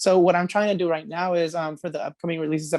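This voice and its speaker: In a Spanish accent, the voice comes through with a dry, close sound and no echo. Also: man. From California, Merced; Mexican heritage. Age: 20s. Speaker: singer-songwriter. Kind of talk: interview. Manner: casual, many fillers.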